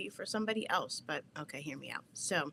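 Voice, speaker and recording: A woman speaks with a New Jersey accent and a bright, sharp tone. Her pitch varies in an ordinary way. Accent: New Jersey American. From New Jersey, US. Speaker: podcast host. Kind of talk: livestream talk. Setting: home basement. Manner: animated.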